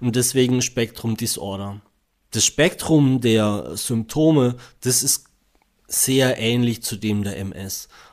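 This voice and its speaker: The speech moves at a very slow pace. Pitch variation is ordinary. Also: man, medium pitch for a man. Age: 40s. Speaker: engineer and patient with NMOSD. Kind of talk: interview. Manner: hesitant, many fillers.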